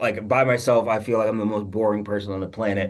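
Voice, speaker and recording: A man talks at a very fast pace. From US Midwest, Chicago suburb. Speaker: insurance senior leader. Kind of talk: panel discussion. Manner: animated, big gestures.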